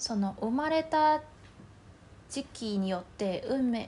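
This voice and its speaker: In a Mandarin Chinese accent, a woman speaks at a very slow pace with a high pitch, a dark, mellow tone, and ordinary pitch variation. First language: Mandarin Chinese (speaking Japanese). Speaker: podcast co-host. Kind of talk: casual chat.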